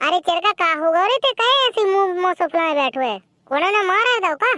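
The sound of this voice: A woman does a squeaky, cartoonish character voice at an extremely high pitch, with lively intonation and a fairly quick pace. Her loudness stays very even, and the sound is dry and close with no echo.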